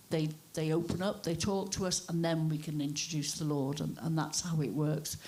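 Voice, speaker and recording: Against audible room echo, a woman with a fairly low pitch talks at a moderate pace. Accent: North Welsh. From north Wales (Wrexham), born in Liverpool. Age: 60s. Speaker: cafe church owner. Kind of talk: testimony.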